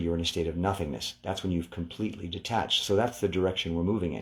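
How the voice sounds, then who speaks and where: On a very clean recording with a silent background, a man with a very deep, low pitch and a calm tone speaks somewhat breathily at a fairly quick pace with fairly even intonation. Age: 60s. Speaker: relaxation instructor. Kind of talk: guided meditation.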